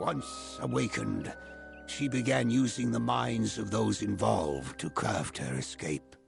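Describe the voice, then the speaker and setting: A man puts on a character voice with a very deep, low pitch and very wide pitch swings. Faint music plays in the background. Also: moderate pace. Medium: machinima. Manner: formal, solemn.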